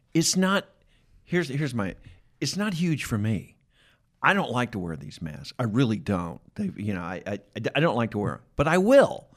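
With an American accent and vocal fry, a man speaks at a medium pitch and moderate pace with very wide pitch swings, in a very clean recording with a silent background. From Atlanta, US South. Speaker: podcast host. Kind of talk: casual interview chat. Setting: studio.

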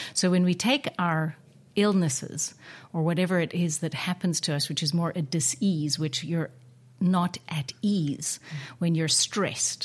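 A woman speaks fairly slowly in a fairly low, somewhat breathy voice with ordinary pitch variation, on a very clean recording with a silent background. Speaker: podcast host and wellness coach. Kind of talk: interview. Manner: warm, effusive.

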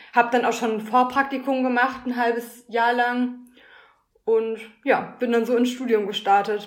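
This woman's voice is high-pitched, at a moderate pace. Her intonation stays monotone and flat. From Ruhr area, Germany (Schwerte near Dortmund). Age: 20s. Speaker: master's student in design. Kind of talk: casual interview.

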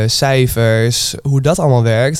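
Fairly even intonation and a medium pitch come from a man with an unremarkable speaking voice. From Twente, eastern Netherlands. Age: 20s. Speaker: restaurant manager. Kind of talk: casual interview.

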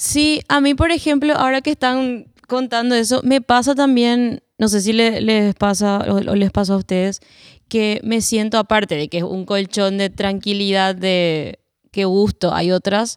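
A woman's fairly high, fairly slow voice with ordinary pitch variation, recorded dry and close with no echo against a silent background. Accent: Paraguayan. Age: 30s. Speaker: singer-songwriter. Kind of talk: roundtable conversation. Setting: cultural centre recording.

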